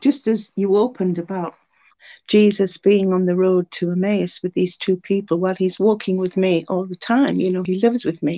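A woman's medium-pitched voice, dark and mellow in tone, at a moderate pace, in a dry, close sound with no echo. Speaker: churchgoer sharing testimony. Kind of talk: testimony.

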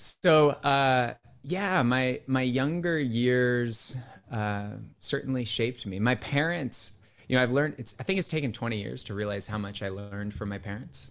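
At a moderate pace, a man of medium pitch speaks with lively intonation in an American accent. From California, US West. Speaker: business founder and facilitation trainer. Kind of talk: casual interview. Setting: video call.

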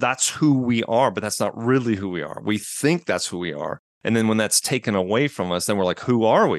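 A man speaks at a medium pitch and a fairly quick pace. The background is quiet. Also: hardly any pauses. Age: 50s. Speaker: divorced father sharing his story. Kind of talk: interview testimony. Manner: halting with frequent false starts; loud volume.

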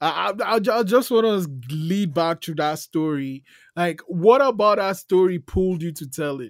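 Speaking at a moderate pace with a Nigerian accent, a man with a high pitch shows lively intonation and big swings in loudness. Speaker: podcast host. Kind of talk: interview.

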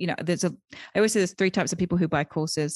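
A woman speaks with an English accent at a fairly low pitch. The sound is dry and close with no echo, over a quiet background. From UK. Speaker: virtual assistant coach and business founder. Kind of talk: interview. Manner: hesitant, many fillers.

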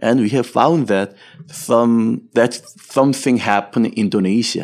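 With a Korean accent, a man speaks at a medium pitch with ordinary pitch variation. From Seoul, South Korea. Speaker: entrepreneur, company executive. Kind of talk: interview. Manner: halting.

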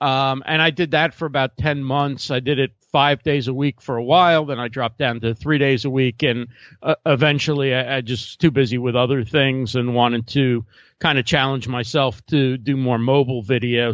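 At a moderate pace, a man with an unremarkable speaking voice at medium pitch uses fairly even intonation, the sound dry and close with no echo over a quiet background. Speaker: live streaming expert. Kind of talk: casual interview chat.

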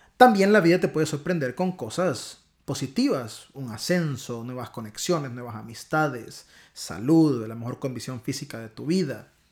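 A man with a strong Honduran accent speaks with lively intonation at a fairly high pitch. The recording is very clean, with a silent background. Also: moderate pace. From Honduras. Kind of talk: devotional talk. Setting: home recording, not studio.

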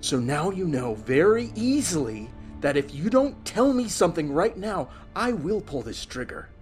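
A put-on character voice at a middle pitch, shaky, with very wide pitch swings at a moderate pace, over clear music in the background. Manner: tense, threatening, trembling.

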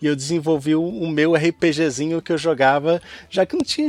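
With a Carioca accent, a man speaks at a fairly high pitch. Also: dry, close sound with no echo. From Rio de Janeiro, Brazil. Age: 30s. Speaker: science communicator, podcaster. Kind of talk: casual interview.

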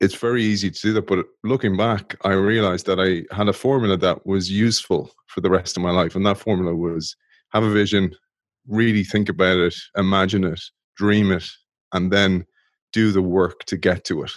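At a fairly quick pace, a man with a fairly low pitch talks in an Irish accent. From Ireland. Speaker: former pro rugby player, innovation podcast host. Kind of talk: interview conversation.

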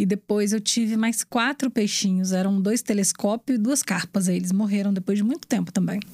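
A woman's somewhat breathy, medium-pitched voice at a moderate pace, with ordinary pitch variation, very even loudness and a dry, close sound with no echo. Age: 40s. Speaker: radio presenter and journalist. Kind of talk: casual interview chat.

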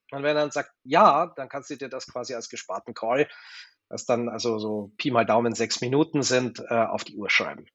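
At a moderate pace, a man uses an ordinary speaking voice of medium pitch, with ordinary pitch variation and big swings in loudness. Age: 40s. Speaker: digitalisation manager at an energy company. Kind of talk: interview.

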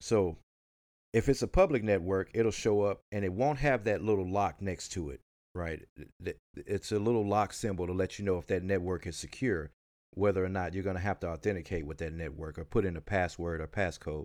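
With a Southern US accent, a man speaks at a very deep, low pitch and a fairly quick pace, his pitch varying in an ordinary way, on a very clean recording with a silent background. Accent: country Southern US. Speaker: podcast host. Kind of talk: casual chat, tech podcast.

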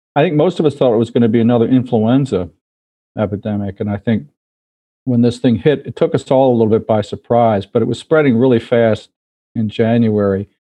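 In an American accent, a man uses an ordinary speaking voice at medium pitch, with ordinary pitch variation and a fairly quick pace. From US, Baltimore. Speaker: infectious disease physician and professor. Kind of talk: interview.

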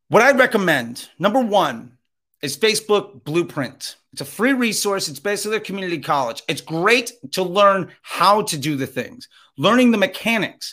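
With a high pitch and very wide pitch swings, a man uses a raised, projected voice with a bright, sharp tone on a very clean recording with a silent background. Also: moderate pace. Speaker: Facebook ads instructor; former radio DJ. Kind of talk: live masterclass, teaching. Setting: live Clubhouse audio room. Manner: animated, energetic.

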